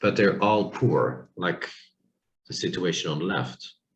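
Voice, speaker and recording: A man speaks with vocal fry. He keeps a moderate pace. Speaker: university lecturer. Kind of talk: lecture. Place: home room. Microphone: webcam.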